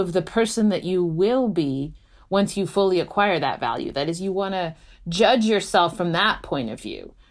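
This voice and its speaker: A woman with an unremarkable speaking voice talks at medium pitch and a moderate pace. Her intonation is lively, and the recording is very clean with a silent background. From United States, Hungarian-born (moved at six). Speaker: philosophy professor. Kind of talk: interview conversation.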